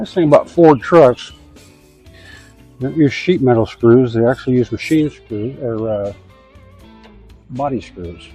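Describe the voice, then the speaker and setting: A man with a medium-pitched voice talks at a moderate pace with ordinary pitch variation and long, frequent pauses. Music plays in the background. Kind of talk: DIY tutorial talk to camera. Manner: casual, folksy.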